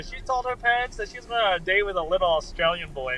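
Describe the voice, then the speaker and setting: Lively intonation marks this very fast delivery, heard with noticeable noise behind it. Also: man. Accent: American. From US, Colorado. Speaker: bare knuckle fighter. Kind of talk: casual interview.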